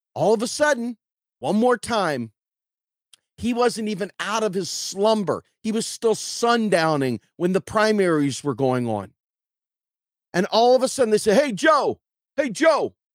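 Animated and high-pitched, a man with an American accent swings very widely in pitch at a fairly slow pace with long, frequent pauses, in a dry, close sound with no echo. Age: 50s. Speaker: political podcast host. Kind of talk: political commentary monologue.

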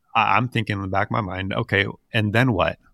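Over a very clean recording with a silent background, a man speaks at a fairly low pitch with vocal fry. His tone is bright and sharp, and the sound is dry and close with no echo. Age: 40s. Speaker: podcast co-host, financial advisor. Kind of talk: casual chat. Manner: halting, with frequent repeated words.

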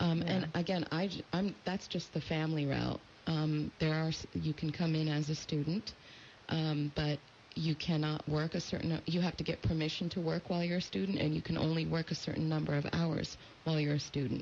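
A woman's somewhat breathy, very deep, low voice in a monotone, flat intonation, with an American accent. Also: very even loudness. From California, US. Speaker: immigration lawyer. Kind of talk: radio interview.

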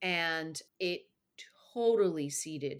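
A woman with an American accent speaks in a normal speaking voice at a fairly low pitch. Her intonation is lively. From Colorado. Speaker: radio host and garden writer. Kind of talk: interview.

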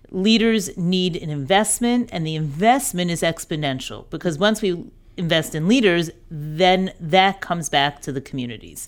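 In an ordinary speaking voice, a woman with an American accent talks at a moderate pace and fairly low pitch with lively intonation, on a very clean recording with a silent background. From New York. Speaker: director of a women's education program. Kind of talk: interview.

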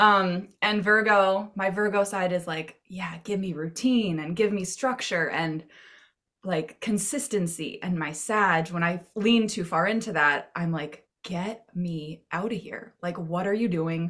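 A woman with an unremarkable speaking voice delivers her words fairly slowly, her medium pitch rising and falling in ordinary measure. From Maine, US. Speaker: web marketing consultant. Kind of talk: casual interview.

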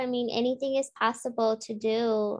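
A woman's fairly high voice at a very slow pace. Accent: American. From US, Chicago area, Spanish-speaking home. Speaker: teacher candidate. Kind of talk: casual chat.

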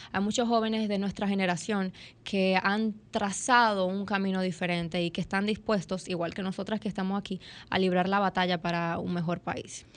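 At a moderate pace, a woman speaks at a medium pitch in monotone, flat intonation against a quiet background. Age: 20s. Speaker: young politician. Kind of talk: interview. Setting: studio.

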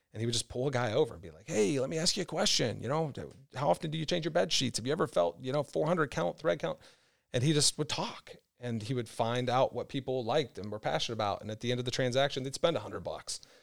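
A man with an American accent talks at a very fast pace in a medium pitch, with lively intonation, big swings in loudness and vocal fry. The recording is very clean with a silent background. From Kentucky. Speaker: sales manager. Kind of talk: casual interview. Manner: fast talker.

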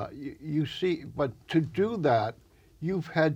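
Against a quiet background, a man speaks very slowly in a somewhat breathy voice. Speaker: community TV interview host. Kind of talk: casual interview. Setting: studio.

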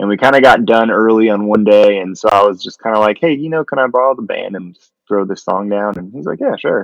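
A man with an ordinary speaking voice and an American accent talks at a fairly quick pace with hardly any pauses, using a fairly low pitch and ordinary pitch variation. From southwest Colorado. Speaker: country music singer-songwriter. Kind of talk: casual chat.

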